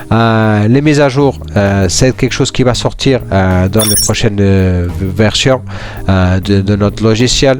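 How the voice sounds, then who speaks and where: A man with a Portuguese accent talks at a very slow pace in a fairly low pitch, with ordinary pitch variation. His loudness stays very even, and there is noticeable background noise. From Portugal. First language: Portuguese (speaking French). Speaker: software tutorial presenter. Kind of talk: tutorial. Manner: halting, many fillers and repetitions; casual.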